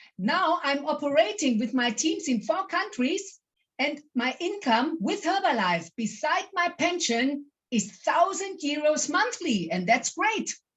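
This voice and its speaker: A woman's high pitch with very wide pitch swings, at a fairly slow pace. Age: 60s. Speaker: network marketing distributor. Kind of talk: testimony.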